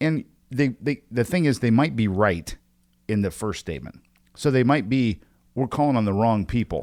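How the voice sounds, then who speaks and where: With an Indiana accent, a man speaks at medium pitch and a moderate pace, his intonation lively. The tone is animated, and the sound is dry and close with no echo. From Evansville, Indiana (US Midwest). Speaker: sales training podcast host. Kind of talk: casual chat.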